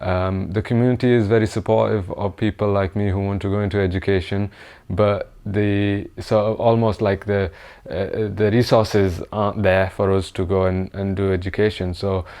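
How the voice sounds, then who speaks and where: The man's tone is dark and mellow, with monotone, flat intonation. He speaks at a moderate pace. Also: fairly low pitch for a man, quiet background. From northern England, Bradford. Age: 20s. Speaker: PhD engineering graduate, award nominee. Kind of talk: award nominee testimony. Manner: hesitant with fillers.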